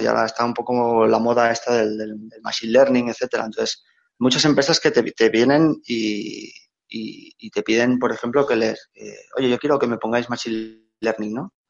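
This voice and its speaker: At a moderate speed, a man speaks with a pitch in the middle range. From Catalonia, Spain (Reus). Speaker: big data engineer. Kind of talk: casual interview. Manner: halting, repeats words.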